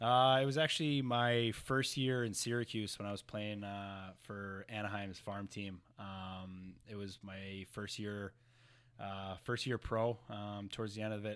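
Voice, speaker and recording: A man with an American accent talks at a fairly slow pace in a fairly low pitch with fairly even intonation. The recording is very clean, with a silent background. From New Jersey. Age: 20s. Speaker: professional hockey player. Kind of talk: casual interview. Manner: halting, many fillers.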